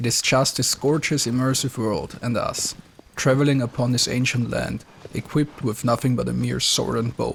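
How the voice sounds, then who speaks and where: A man talks at a moderate pace while noticeable background noise runs behind him. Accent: non-native. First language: not English. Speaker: video game reviewer. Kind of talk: scripted narration.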